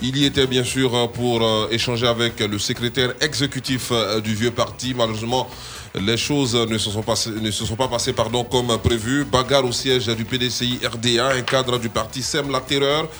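Medium-pitched male voice in a flat monotone over music in the background. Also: moderate pace. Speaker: radio host. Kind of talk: satirical news talk show.

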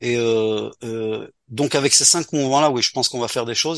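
The speaker goes at a fairly quick pace with fairly even intonation. The background is quiet. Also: man. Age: 60s. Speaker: community organisation leader. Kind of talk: radio interview. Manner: halting.

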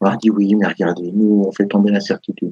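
Speaking at a fairly quick pace, a man with a fairly low pitch and a dark, mellow tone is heard in a dry, close sound with no echo. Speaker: rugby pundit. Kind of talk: heated debate. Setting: live stream. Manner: animated.

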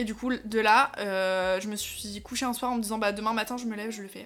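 At a fairly quick pace, a plain, everyday voice keeps a fairly even intonation. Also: woman. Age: 20s. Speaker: entrepreneur. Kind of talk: casual chat.

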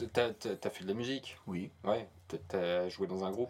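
Speaking with a Norman accent, a man keeps a very slow pace. His voice sits fairly low, with ordinary pitch variation. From Normandy, France. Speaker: podcast co-host. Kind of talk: casual chat. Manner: halting.

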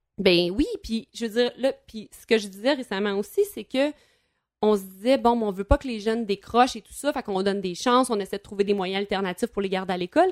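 In a very clean recording with a silent background and a dry, close sound with no echo, a woman speaks at a moderate pace and fairly high pitch in a Quebec accent, her loudness swinging widely. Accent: Québécois French. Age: 30s. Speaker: former teacher and radio columnist. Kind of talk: casual chat.

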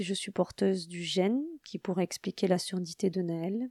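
Very slow delivery in a dark, mellow tone with ordinary pitch variation, the sound dry and close with no echo and the recording very clean over a silent background. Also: woman. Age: 40s. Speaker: podcast host, mother of a deaf child. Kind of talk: personal narration.

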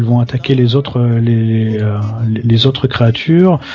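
A man with a southwestern French accent and fairly even intonation, over noticeable background noise. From southwest France. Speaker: video game pundit. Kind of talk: casual chat. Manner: halting, repeats words.

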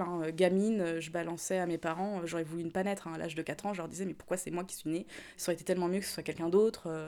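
At a very fast pace, a woman speaks with a fairly low pitch and fairly even intonation on a very clean recording with a silent background. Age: 30s. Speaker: interviewee. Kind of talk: testimony.

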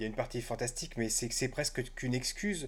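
A plain, everyday voice at a moderate pace. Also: man. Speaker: podcast host. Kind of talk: casual chat.

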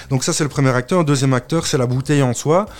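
A man speaks with normal rises and falls in pitch while noticeable noise fills the background. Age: 30s. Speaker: drinks brand founder. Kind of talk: interview. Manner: hesitant, many fillers.

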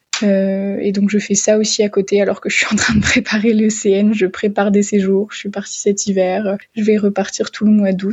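A woman speaks at a moderate pace and medium pitch, her voice somewhat breathy and her intonation monotone and flat. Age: 20s. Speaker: medical student. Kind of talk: voicemail testimony.

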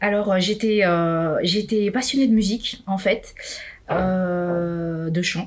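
Fairly low in pitch and somewhat breathy, a woman speaks at a very slow pace. Her pitch varies in an ordinary way. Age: 40s. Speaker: entrepreneur. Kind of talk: interview. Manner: halting.

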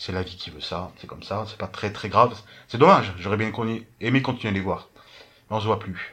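A man speaks at a fairly quick pace with a fairly low pitch. His tone is bright and sharp, and his loudness swings widely. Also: ordinary pitch variation. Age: 30s. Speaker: podcast guest. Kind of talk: casual chat.

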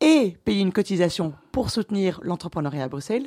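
A woman at medium pitch and moderate pace, dark and mellow in tone, with a dry, close sound and no echo. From Belgium, Brussels. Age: 30s. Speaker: director of an entrepreneurs' network. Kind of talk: interview.

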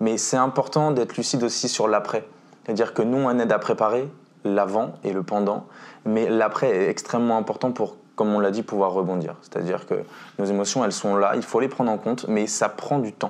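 In an ordinary speaking voice, a man talks at a fairly quick pace with fairly low pitch, fairly even intonation and very even loudness. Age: 20s. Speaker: mental coach and basketball instructor. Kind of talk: interview. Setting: at the guest's home.

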